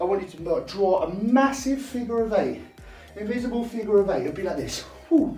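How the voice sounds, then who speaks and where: High-pitched and animated, a man talks at a fairly quick pace with very wide pitch swings. Music plays in the background, and there is audible room echo. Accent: South East London. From South East London, England. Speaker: dance teacher. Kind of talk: tutorial.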